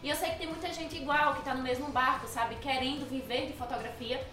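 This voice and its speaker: Fairly quick and high-pitched, a woman speaks with fairly even intonation against audible room echo and noticeable background noise. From Brazil, Alagoas (Maceió). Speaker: photographer and photography teacher. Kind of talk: casual interview.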